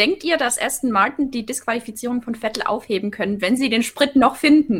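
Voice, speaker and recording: A woman with a Swabian accent speaks in a high pitch with lively intonation. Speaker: live chat moderator. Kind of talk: reading viewer questions in live stream.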